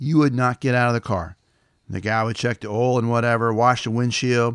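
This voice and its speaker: Fairly quick speech in an American accent, dry and close with no echo, on a very clean recording with a silent background. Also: man. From West Tennessee, US South. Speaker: podcast host and storyteller. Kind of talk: nostalgic storytelling monologue. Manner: casual, folksy.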